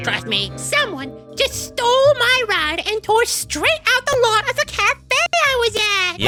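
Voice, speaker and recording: A woman's put-on character voice at a fairly slow pace, with clear music in the background. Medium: game stream. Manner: casual, slangy.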